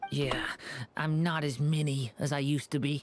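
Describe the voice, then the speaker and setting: Delivered in a put-on character voice, the speech sits at a low-to-middle pitch with monotone, flat intonation at a moderate pace. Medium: video game. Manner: hesitant, soft.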